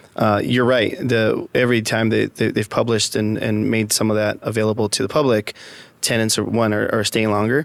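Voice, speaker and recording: A man with a Spanish accent talks at a fairly quick pace, his loudness very even and his intonation flat and monotone. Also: medium pitch for a man. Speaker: real estate executive. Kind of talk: podcast interview. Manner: halting, many repetitions and fillers.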